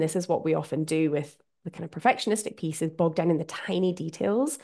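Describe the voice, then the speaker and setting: A woman with a Scottish accent speaks at a moderate pace with lively intonation against a quiet background. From Scotland. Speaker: podcast host. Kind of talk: solo podcast monologue.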